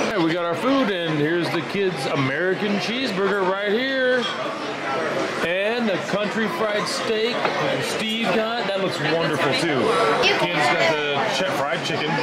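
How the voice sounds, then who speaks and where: Over crowd noise in the background, a man speaks at a fairly slow pace. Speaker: family travel vlogger. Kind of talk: casual vlog chat. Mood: cheerful, appreciative. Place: cafe. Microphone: phone near.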